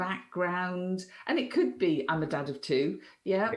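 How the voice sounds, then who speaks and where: Speaking at a very slow pace, a woman with a medium pitch is heard with audible room echo. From Wales. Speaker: business analysis trainer. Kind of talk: casual podcast discussion.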